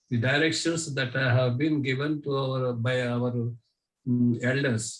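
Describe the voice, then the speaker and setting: The speaker is a man. He sounds somewhat breathy, with fairly even intonation. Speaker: training participant. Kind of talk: online training session sharing. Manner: slow; halting.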